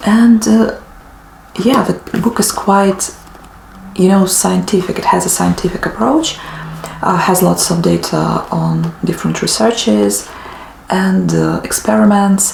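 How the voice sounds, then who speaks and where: A woman at a fairly slow pace with long, frequent pauses over noticeable background noise. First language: not English (native language differs). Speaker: book vlogger. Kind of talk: casual monologue to camera. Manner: hesitant, many fillers.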